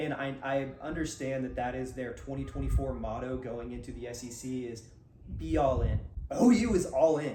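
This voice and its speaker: With an American accent, a man speaks amid noticeable background noise and audible echo from the room. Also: moderate pace, big swings in loudness. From US South, Georgia near Athens. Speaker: sports podcast co-host. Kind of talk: casual chat.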